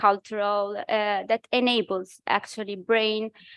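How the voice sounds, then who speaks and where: In a fairly high pitch and with an Italian accent, a woman talks at a fairly slow pace. The recording is very clean and dry, close with no echo, and the background is silent. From Italy. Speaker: think tank researcher. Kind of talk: conference presentation. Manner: halting, many fillers.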